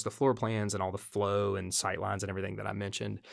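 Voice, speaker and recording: The speaker is a man with a fairly low pitch. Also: very clean recording, silent background. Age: 40s. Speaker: residential designer and business owner. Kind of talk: casual interview.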